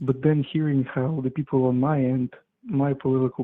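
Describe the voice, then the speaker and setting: A man speaks with a non-native accent. His intonation is monotone and flat. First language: not English. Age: 20s. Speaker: caller. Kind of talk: call-in conversation. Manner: halting.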